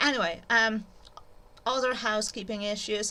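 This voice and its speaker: A woman with a non-native accent and a bright, sharp tone, at a moderate pace, in audible room echo. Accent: noticeable foreign. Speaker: YouTuber, literature educator. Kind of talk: informal lecture. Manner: hesitant, many fillers.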